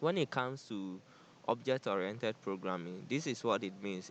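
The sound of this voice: This man's tone is fairly bright, and his pitch varies in an ordinary way.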